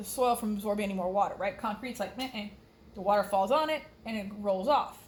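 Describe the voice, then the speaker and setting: A woman speaks with a slight Texas accent at a fairly high pitch and with ordinary pitch variation. Noticeable background noise and audible room echo surround her. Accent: Texas drawl, slight. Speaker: science teacher. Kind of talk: lecture. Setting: recorded on computer. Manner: animated; casual.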